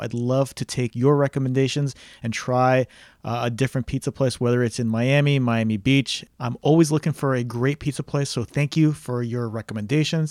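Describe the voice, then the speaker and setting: In an ordinary speaking voice, a man of medium pitch talks at a fairly quick pace with fairly even intonation, recorded very clean against a silent background with a dry, close sound and no echo. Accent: American. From New Jersey. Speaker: podcast host and real estate agent. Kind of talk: casual solo podcast recommendations.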